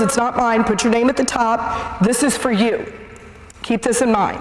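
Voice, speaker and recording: Someone speaks at a moderate pace with noticeable background noise. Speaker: seminar speaker on addiction. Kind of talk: public talk. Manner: loud.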